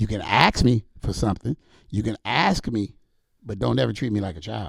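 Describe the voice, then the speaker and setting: With vocal fry and a fairly low pitch, a man talks at a moderate pace using lively intonation and long, frequent pauses. The sound is dry and close with no echo. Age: 50s. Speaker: sports superfan. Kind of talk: casual chat.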